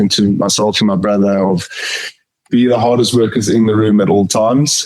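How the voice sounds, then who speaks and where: A man with a South African accent speaks at a moderate pace in a fairly low pitch. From South Africa, Pretoria. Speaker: company finance chief. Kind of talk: interview. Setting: podcast.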